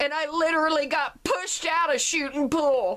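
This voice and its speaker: Projecting a raised voice, a woman speaks with an extremely high pitch and a bright, sharp tone. Her pace is very slow, with ordinary pitch variation. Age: 50s. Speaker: vlogger sharing personal story. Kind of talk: personal testimony monologue.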